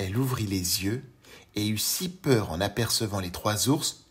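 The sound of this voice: Ordinary pitch variation marks this unforced reading voice.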